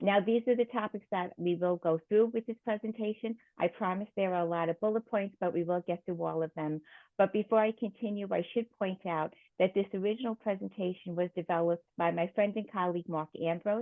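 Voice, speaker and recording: In a New York accent, a woman with a medium pitch talks at a fairly quick pace with fairly even intonation. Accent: New York (Queens) accent, still noticeable. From Queens, New York City. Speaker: nurse and risk management consultant presenting. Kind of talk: lecture. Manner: frequent filler ums.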